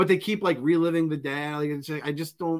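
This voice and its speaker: Moving at a fairly quick pace, a man speaks with a fairly high pitch. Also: quiet background. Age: 40s. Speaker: pop culture podcast co-host. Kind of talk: casual chat. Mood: joking, opinionated. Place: home room.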